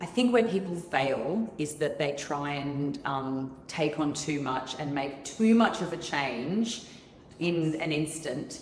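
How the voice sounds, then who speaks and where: Amid noticeable background noise and audible room echo, a woman with an Australian accent speaks very slowly at a very deep, low pitch with lively intonation. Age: 40s. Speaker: fitness studio founder. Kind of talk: interview.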